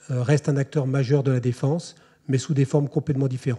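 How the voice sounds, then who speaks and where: Over a quiet background, a man speaks with a fairly high pitch and fairly even intonation. His tone is dark and mellow, somewhat breathy. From France. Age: 40s. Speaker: army officer. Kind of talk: lecture. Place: hall. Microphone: podium.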